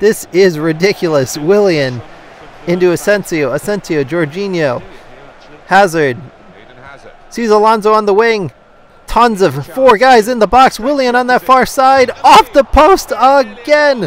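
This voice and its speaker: Over noticeable background noise, a man with a high pitch speaks at a fairly slow pace, his voice making very wide pitch swings. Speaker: gaming YouTuber. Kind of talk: live play-by-play commentary over FIFA gameplay. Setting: video game recording voiceover. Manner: upbeat, friendly, conversational.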